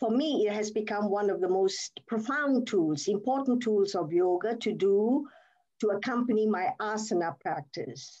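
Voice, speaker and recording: Against a quiet background, a woman with a dark, mellow tone speaks at a fairly slow pace using lively intonation. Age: 80s+. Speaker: yoga therapist and Vedic chant teacher. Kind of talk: interview answer.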